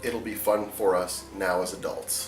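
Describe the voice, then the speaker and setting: A man is speaking. Music plays behind him. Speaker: backyard wrestling federation founder. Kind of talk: interview answer.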